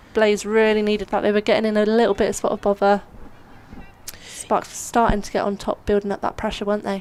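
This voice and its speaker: A woman's medium-pitched voice at a fairly quick pace, monotone and flat, over noticeable background noise. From Somerset, England. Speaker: cricket commentator. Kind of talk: live commentary.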